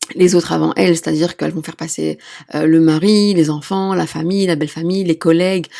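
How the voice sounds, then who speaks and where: A woman with a plain, everyday voice speaks at a fairly low pitch with fairly even intonation, in a very clean recording with a silent background. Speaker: midwife and sex therapist podcast host. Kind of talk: solo podcast talk.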